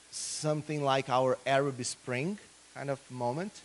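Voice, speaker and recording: A man with a Brazilian Portuguese accent speaks at a fairly slow pace in a fairly high pitch. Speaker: political scientist. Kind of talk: conference talk.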